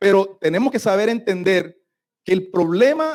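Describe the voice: Against a quiet background, the plain reading aloud carries lively intonation.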